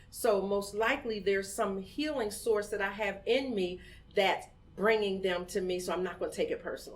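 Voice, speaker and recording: A woman with an American accent, fairly high-pitched, ordinary pitch variation, audible room echo. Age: 50s. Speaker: community organizer, founder of women's voting group. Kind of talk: podcast interview.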